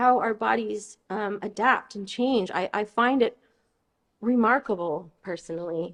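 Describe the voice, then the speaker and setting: A woman talks with a Californian accent. Her intonation is lively. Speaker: osteoarchaeologist. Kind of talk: lecture. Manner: halting, many fillers and restarts.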